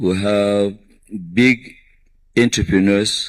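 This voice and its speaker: A man speaks with monotone, flat intonation. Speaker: industrialist at a conference panel. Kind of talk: panel discussion. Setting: conference stage. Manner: hesitant, many fillers.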